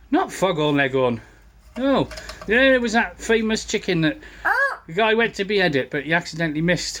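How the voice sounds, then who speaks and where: Amid noticeable background noise, a man with a northern English accent talks at a fairly quick pace and high pitch, his pitch swinging very widely between long, frequent pauses. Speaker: camera operator in a motorbike workshop. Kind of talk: casual chat. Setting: workshop. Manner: loud.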